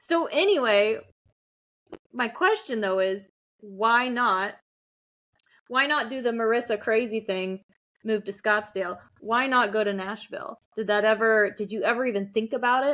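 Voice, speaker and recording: Bright and sharp in tone, a woman's fairly high voice moves at a moderate pace with ordinary pitch variation. Long, frequent pauses break up her speech on a very clean recording with a silent background. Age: 20s. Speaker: podcast cohost and content creator. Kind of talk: interview-style casual chat.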